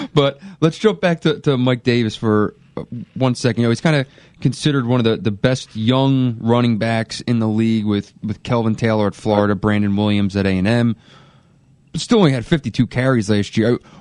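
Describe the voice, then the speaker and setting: A man with a Philadelphia accent, medium in pitch, at a fairly quick pace with ordinary pitch variation. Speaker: sports radio host. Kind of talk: sports radio interview.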